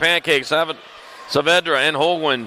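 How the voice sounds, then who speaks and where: A man with a fairly high pitch speaks at a very fast pace. Noticeable background noise is present. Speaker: BMX race announcer. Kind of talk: live commentary. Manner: loud.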